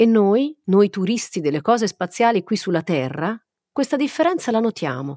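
The voice has a dark, mellow tone and very wide pitch swings. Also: woman, medium pitch for a woman, moderate pace, dry, close sound with no echo. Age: 40s. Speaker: podcast host and science journalist. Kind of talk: scripted narration.

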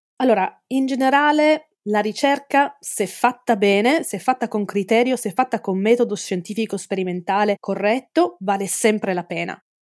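In a dry, close recording that is very clean with a silent background, a woman speaks at a moderate pace with a fairly high pitch, ordinary pitch variation and hardly any pauses. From Italy. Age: 40s. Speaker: forensic entomologist. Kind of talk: interview. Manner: halting.

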